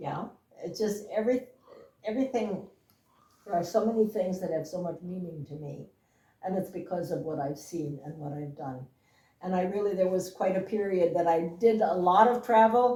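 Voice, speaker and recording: A woman speaks at a moderate pace with long, frequent pauses. Her medium-pitched voice has a dark, mellow tone and is somewhat breathy. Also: ordinary pitch variation. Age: 80s+. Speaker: interviewee sharing family memories. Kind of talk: casual interview. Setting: at home.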